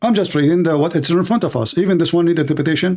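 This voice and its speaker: A very clean recording of a man speaking, the background silent. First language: not English. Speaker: livestream debate host. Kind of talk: heated debate. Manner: animated; halting.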